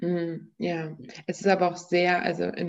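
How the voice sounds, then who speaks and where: With vocal fry, a woman speaks at a fairly low pitch. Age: 20s. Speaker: podcast host. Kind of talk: casual interview.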